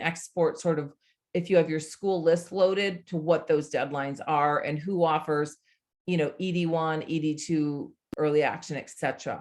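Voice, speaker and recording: A woman's fairly low-pitched, an unremarkable speaking voice, with fairly even intonation and a moderate pace. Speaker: college admissions consultant. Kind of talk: online workshop presentation.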